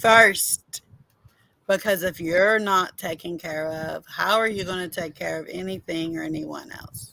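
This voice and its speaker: This woman has a bright, sharp tone and lively intonation. She talks at a fairly slow pace. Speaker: co-host. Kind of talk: live stream sign-off.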